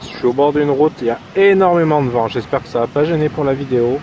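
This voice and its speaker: A man at a moderate pace, ordinary pitch variation and noticeable background noise. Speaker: metal detecting youtuber. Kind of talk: casual vlog narration outdoors. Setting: outdoors in a field. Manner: loud.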